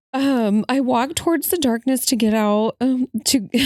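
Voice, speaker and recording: In a dry, close recording with no echo, a woman with a high pitch and a dark, mellow tone speaks at a fairly slow pace. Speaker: podcast co-host. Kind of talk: reading aloud.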